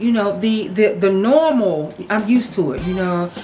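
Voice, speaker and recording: A woman's animated tone at a moderate pace, with noticeable background noise and audible room echo. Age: 30s. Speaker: vlogger. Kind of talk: casual vlog talk.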